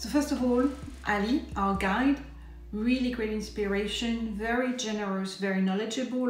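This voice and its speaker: Amid noticeable background noise and audible room echo, a woman with a French accent talks at a moderate pace with fairly even intonation. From France. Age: 50s. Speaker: travel blogger and YouTuber. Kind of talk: vlog-style course review.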